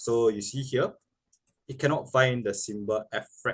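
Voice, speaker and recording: This male voice is somewhat breathy. Its pitch is medium, and its pitch variation is ordinary. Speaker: programming tutor. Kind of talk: tutorial. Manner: slow; hesitant with fillers.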